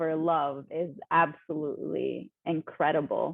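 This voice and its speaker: This woman has a very deep, low pitch and speaks with an Arabic accent. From Lebanon. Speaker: poet and speaker. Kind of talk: interview.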